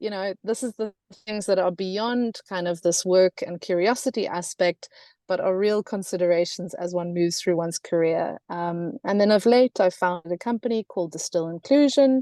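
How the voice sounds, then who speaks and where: Against a quiet background, a woman with a South African accent speaks at a medium pitch in a dark, mellow tone with ordinary pitch variation. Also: moderate pace, dry, close sound with no echo. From South Africa, Cape Town. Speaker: gender and climate consultant. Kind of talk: webinar presentation.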